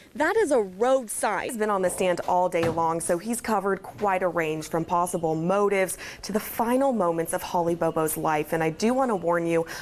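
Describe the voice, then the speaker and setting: Lively intonation colors a woman's speech amid noticeable background noise. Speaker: TV news reporter. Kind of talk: field report voiceover and on-scene questioning.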